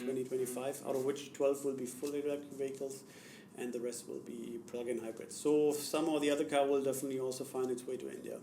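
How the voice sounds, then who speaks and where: A man with a slight German accent speaks very fast at a medium pitch, his intonation monotone and flat. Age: young. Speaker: car company executive. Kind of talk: interview answer.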